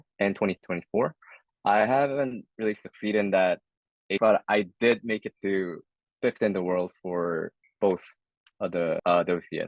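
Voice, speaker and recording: Talking at a moderate pace, a man with a Korean accent uses a fairly low pitch. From South Korea. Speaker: esports player. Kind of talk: interview. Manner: hesitant, many fillers.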